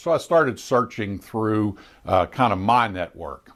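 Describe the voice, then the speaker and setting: The speaker goes at a fairly slow pace with lively intonation. Recorded very cleanly, the background is silent. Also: man. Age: 60s. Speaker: retired elected official. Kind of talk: casual monologue presentation. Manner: hesitant, many fillers.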